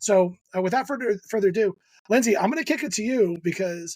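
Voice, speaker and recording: Talking at a fairly quick clip, a man with a New Jersey accent and a high pitch shows ordinary pitch variation. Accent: New Jersey American. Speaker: podcast host. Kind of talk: casual chat. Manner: fast.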